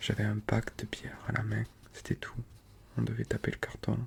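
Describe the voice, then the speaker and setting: In a southern French accent, someone whispers at a very slow pace in a relaxed tone, with noticeable background noise. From Toulouse, France. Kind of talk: audiobook-style reading of a novella. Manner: soft-spoken, relaxed.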